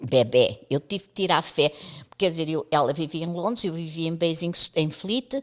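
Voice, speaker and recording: On a very clean recording with a silent background, a woman speaks at a moderate pace with ordinary pitch variation, the sound dry and close with no echo. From East Timor. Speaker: radio pioneer. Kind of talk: casual interview. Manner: animated.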